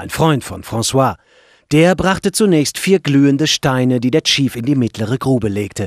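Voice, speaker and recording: An ordinary speaking voice from a man, medium in pitch, at a moderate pace, with lively intonation, big swings in loudness and a dry, close sound with no echo. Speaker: audiobook narrator. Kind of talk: audiobook reading, scripted first-person narration. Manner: measured, calm storytelling pace.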